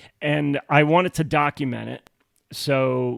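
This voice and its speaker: Speech comes from a man at a very slow pace. The sound is dry and close, with no echo. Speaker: podcast co-host and author. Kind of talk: casual chat. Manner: loud.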